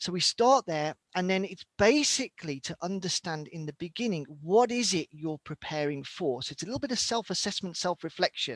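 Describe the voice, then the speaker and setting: With a British accent, a man speaks high-pitched with lively intonation, in a dry, close sound with no echo on a very clean recording with a silent background. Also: moderate pace, hardly any pauses. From Britain. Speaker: survival instructor and former military reservist. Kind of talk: interview.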